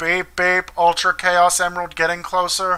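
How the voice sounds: This is a put-on, robotic character voice that sounds female, at medium pitch. It moves at a moderate pace with monotone, flat intonation.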